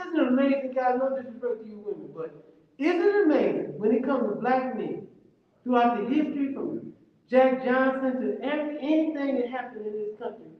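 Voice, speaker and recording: A man at an extremely high pitch, fairly quick and with lively intonation, in audible room echo. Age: 60s. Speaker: community event speaker. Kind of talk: community discussion. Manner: animated.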